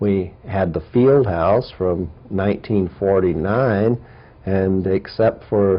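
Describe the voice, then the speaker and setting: This man speaks with an American accent at a very slow pace. His voice is fairly low, with ordinary pitch variation. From US Mid-Atlantic (Riverdale, Maryland) and Omaha, Nebraska. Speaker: history professor. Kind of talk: oral history interview. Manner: halting, many fillers.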